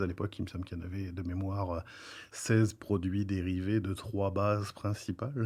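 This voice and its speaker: With a dark, mellow tone and fairly low pitch, a man speaks in a flat monotone at a fairly quick pace. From France. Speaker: professor and researcher. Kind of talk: podcast interview. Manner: hesitant, many filler sounds.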